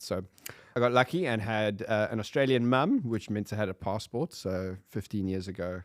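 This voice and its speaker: Speaking with a South African accent, a man with a fairly low pitch and ordinary pitch variation moves at a fairly quick pace on a very clean recording with a silent background. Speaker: podcast guest. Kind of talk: casual chat.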